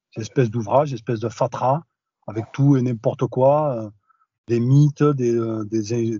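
With monotone, flat intonation, a man speaks at a fairly slow pace in a somewhat breathy voice. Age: 40s. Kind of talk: interview testimony. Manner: hesitant, many fillers.

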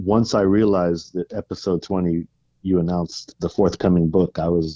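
On a dry, close recording with no echo, a man talks at a moderate pace in a low pitch and a dark, mellow tone with little pitch movement.

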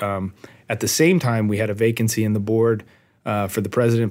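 A man with an American accent speaks at a fairly low pitch and a fairly quick pace. His is an unremarkable speaking voice. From Southern California (Arcadia). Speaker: firefighter engineer, union local president. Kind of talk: casual discussion.

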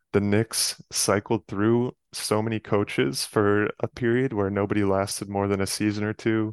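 At a moderate pace and with hardly any pauses, an unremarkable speaking voice delivers fairly even intonation against a quiet background. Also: man, fairly low pitch for a man, dry, close sound with no echo. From New York area, Westchester County. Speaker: sports card collector and photographer. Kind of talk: casual chat.

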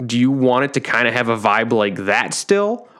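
This man has a normal speaking voice, pitched in the middle range, and he moves at a fairly quick pace. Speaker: podcast host. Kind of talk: casual chat.

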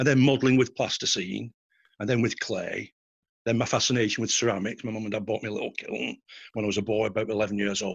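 A man talks at a very fast clip, his pitch in the middle range. His intonation stays fairly even throughout. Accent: Lancashire. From northern England, Bolton. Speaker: art forger. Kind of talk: interview.

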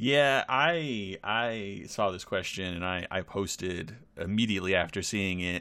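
A man with an ordinary speaking voice talks at a fairly slow pace with hardly any pauses, a fairly low pitch and ordinary pitch variation, in a very clean recording with a silent background. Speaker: podcast co-host and player. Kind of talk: casual chat. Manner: joking, playful.

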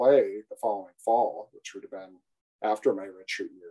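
A man with a Midwestern American accent, at a moderate pace. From northern Iowa. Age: 40s. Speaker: civil engineer and sales manager. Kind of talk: casual interview.

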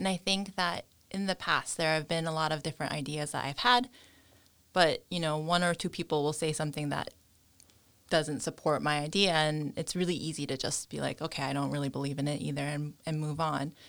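A woman talks at a fairly quick pace in a very deep, low voice. Her intonation stays fairly even on a very clean recording with a silent background. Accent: New York. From US, New York. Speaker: fashion entrepreneur. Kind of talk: interview.

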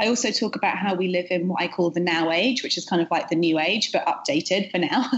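Over noticeable background noise, a woman speaks very fast with hardly any pauses, at a medium pitch with ordinary pitch variation and very even loudness. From UK. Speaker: author. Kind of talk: casual interview chat. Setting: video call from New York.

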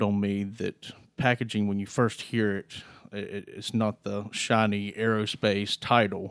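A man talks with a fairly low pitch. The recording is very clean and the background silent. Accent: North Carolina. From eastern North Carolina (Greenville). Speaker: manufacturing company controller. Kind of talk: interview. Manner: halting, with repeated words.

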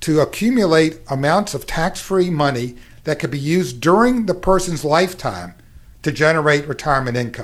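Speaking at a moderate pace with an American accent, a man has an unremarkable speaking voice, fairly high pitch and lively intonation, in a very clean recording with a silent background. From Kentucky, US South. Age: 60s. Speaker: actuary and financial company founder. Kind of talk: radio interview.

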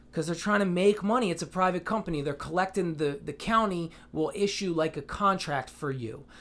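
A man with an American accent and a high voice, at a fairly quick pace, on a very clean recording with a silent background. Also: ordinary pitch variation. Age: 30s. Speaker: rapper. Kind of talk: casual chat. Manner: candid.

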